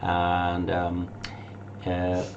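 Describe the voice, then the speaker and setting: Very deep, low pitch from a man with a German accent, plus noticeable background noise and audible room echo. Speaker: tour operator. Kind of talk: casual presentation. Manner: halting.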